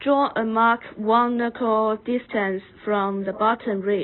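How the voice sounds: At a slow pace, a woman with a medium-pitched voice talks using fairly even intonation.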